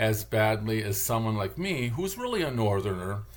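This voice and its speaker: This man's voice is somewhat breathy, and he talks at a moderate pace. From Michigan, Detroit area. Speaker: vlogger, linguist. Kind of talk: casual monologue vlog. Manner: rambling, halting with fillers.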